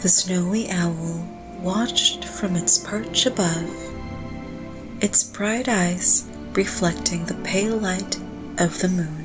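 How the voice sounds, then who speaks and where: With music in the background, a woman speaks very slowly at a fairly low pitch, with long, frequent pauses. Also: ordinary pitch variation. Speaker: sleep story narrator. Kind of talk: sleep story. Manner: slow, soft-spoken.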